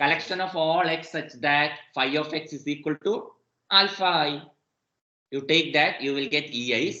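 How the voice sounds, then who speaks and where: Audible room echo surrounds a man's fairly high-pitched voice, which has a bright, sharp tone and fairly even intonation. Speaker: mathematics professor. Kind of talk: lecture. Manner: slow.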